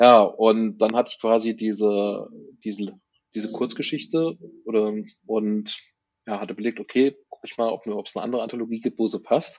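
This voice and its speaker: Long pauses come often at a moderate pace. The intonation stays fairly even. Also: man, medium pitch for a man. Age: 50s. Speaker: author and IT worker. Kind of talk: interview. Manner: halting.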